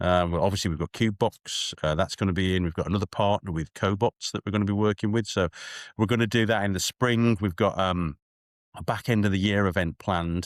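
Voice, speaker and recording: A man's fairly low voice at a very fast pace with fairly even intonation, dry, close sound with no echo, and a very clean recording against a silent background. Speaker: machine tool sales executive. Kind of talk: podcast interview. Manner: frequent fillers and self-repetition.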